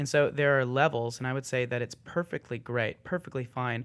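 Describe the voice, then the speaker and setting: In a very clean recording with a silent background, a man speaks with an American accent at a medium pitch. His intonation is fairly even, and it is an unremarkable speaking voice. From Texas (Austin). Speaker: church worship leader. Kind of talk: casual chat.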